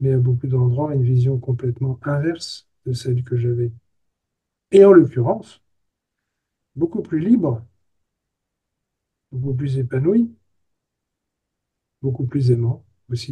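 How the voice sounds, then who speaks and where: A man's somewhat breathy, medium-pitched voice with a dark, mellow tone, ordinary pitch variation, a fairly slow pace and long, frequent pauses. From France, countryside near Angers. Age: 70s. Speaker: therapist. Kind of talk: interview conversation. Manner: halting.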